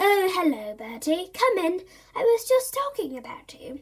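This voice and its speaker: A woman's put-on character voice, extremely high in pitch, with very wide pitch swings, big shifts in loudness and a moderate pace. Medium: read story. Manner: warm, indulgent.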